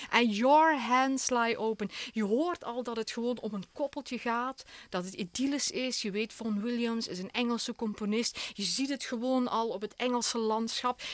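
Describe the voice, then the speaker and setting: A woman with a Belgian Limburg accent speaks at a moderate pace, her fairly high pitch rising and falling in an ordinary way. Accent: Belgian Limburg Flemish. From Belgian Limburg, Hasselt. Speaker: opera singer. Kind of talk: radio interview. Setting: radio studio.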